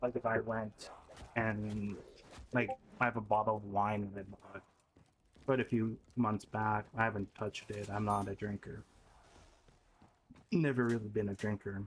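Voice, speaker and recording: With long, frequent pauses, a man speaks at a moderate pace in a fairly low pitch and a monotone, flat intonation. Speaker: streamer and video creator. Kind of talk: personal video journal monologue. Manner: halting, stuttering.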